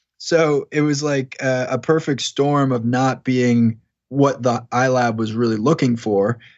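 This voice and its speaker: A man with an American accent uses a plain, everyday voice with medium pitch, fairly even intonation and a fairly slow pace. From New York, Long Island. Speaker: tech startup founder. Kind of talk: interview.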